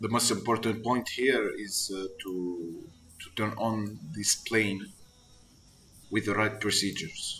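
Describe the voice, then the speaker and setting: Music plays in the background as a man with a non-native accent talks very slowly. His voice is fairly low, with fairly even intonation. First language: not English. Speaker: flight sim gamer. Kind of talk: tutorial. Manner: halting.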